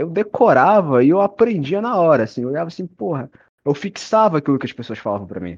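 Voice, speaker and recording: A man's pitch swings very widely as he talks at a fairly quick speed. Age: young. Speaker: student. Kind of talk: casual chat.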